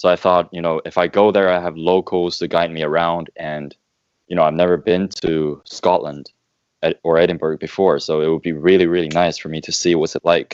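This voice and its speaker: The sound is dry and close with no echo as a man talks at a fairly quick pace in a very deep, low voice. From China. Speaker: podcast co-host. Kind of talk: casual chat.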